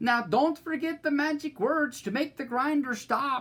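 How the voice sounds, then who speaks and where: The pitch is high. It is a put-on character voice. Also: moderate pace. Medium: read story.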